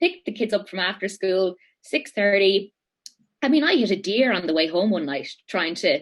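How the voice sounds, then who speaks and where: A woman speaks with an Irish accent at a moderate pace. Her medium pitch carries lively intonation. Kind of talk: interview answer. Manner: casual, animated.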